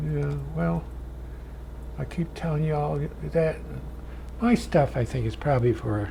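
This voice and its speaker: A man speaks in a very deep, low voice. Room echo is audible around him. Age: 80s+. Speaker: painting instructor. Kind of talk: tutorial with anecdotes. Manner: casual, folksy.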